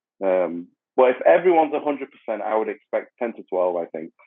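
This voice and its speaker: Talking at a very fast pace, a man makes very wide pitch swings and big swings in loudness. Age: 30s. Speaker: professional bodybuilder. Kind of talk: casual chat.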